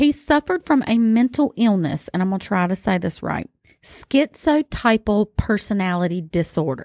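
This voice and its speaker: A woman's medium-pitched voice in a Southern US accent, very wide pitch swings at a moderate pace, dry and close with no echo on a very clean recording with a silent background. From US South. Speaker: podcast host. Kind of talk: casual chat. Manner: animated.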